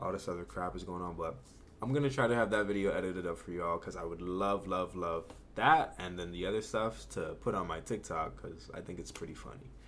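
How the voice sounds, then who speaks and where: A man's very deep, low voice with vocal fry, an animated tone, lively intonation, and a fairly quick pace. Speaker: YouTube reaction commentator. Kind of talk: casual reaction commentary. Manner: fast.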